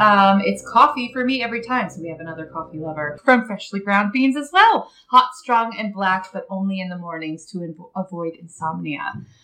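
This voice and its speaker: Over noticeable background noise, a woman at medium pitch talks at a moderate pace with hardly any pauses and big swings in loudness. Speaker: yarn dyer. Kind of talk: casual chat.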